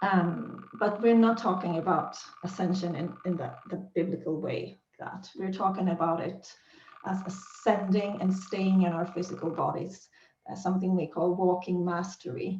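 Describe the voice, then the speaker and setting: A woman with a Swedish accent, medium pitch, monotone, flat intonation and a moderate pace. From Sweden. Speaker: spiritual teacher. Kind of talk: teaching monologue. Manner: hesitant with fillers.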